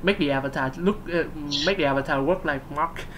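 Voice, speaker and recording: Noticeable background noise and audible room echo surround a woman with a very deep, low pitch, speaking in a Vietnamese accent. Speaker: gaming video host. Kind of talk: casual discussion. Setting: live stream. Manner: halting, many fillers and repeats.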